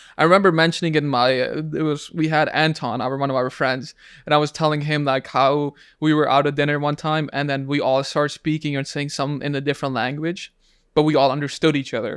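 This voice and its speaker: A man with a Pakistani accent, fairly high-pitched, talking very fast in a flat monotone, on a very clean recording with a silent background. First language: Urdu. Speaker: podcast host. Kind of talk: casual chat. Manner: halting.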